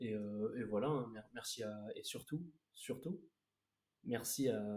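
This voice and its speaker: At medium pitch, a man's dark, mellow voice moves at a moderate pace with fairly even intonation. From Bordeaux, France. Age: young. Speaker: young rapper. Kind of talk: casual chat. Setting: live stream. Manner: halting.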